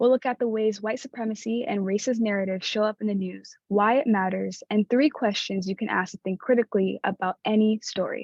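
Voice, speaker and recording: Pitch moves up and down in an ordinary way, and there's some breathiness. The delivery comes fairly fast. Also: woman. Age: 20s. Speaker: community outreach assistant at youth radio program. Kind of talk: workshop presentation. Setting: virtual workshop.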